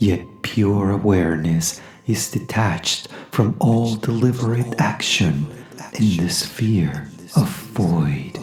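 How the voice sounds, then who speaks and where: Music plays in the background as a woman with a very deep, low pitch speaks at a very slow pace in a calm tone with lively intonation. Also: very even loudness. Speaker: voice actor. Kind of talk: poetry reading. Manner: calm, slow.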